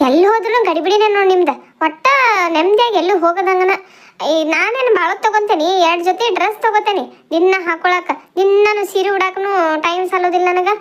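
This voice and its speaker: A woman performs a cartoonish character voice at an extremely high pitch. She keeps a moderate pace and very even loudness. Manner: chatty.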